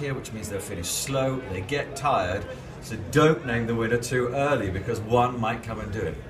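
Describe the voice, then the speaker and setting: With music playing behind him, a man speaks at a moderate pace and medium pitch. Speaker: horse racing commentator. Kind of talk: interview answer.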